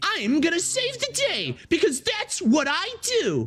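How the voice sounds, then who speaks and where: A put-on character voice pitched extremely high moves at a fairly slow pace. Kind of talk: theatrical. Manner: affected, over-the-top heroic.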